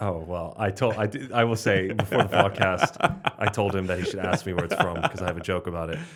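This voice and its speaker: Noticeable background noise runs under this man's voice. His pitch is very deep and low, and he talks at a very fast pace. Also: ordinary pitch variation. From Slovenia. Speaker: stand-up comedian. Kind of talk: podcast interview answer.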